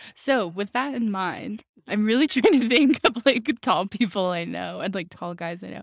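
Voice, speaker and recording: On a very clean, silent-background recording with a dry, close sound and no echo, a woman with a fairly high pitch and vocal fry talks at a moderate pace with hardly any pauses and big swings in loudness. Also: lively intonation. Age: 20s. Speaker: podcast co-host. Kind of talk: casual chat.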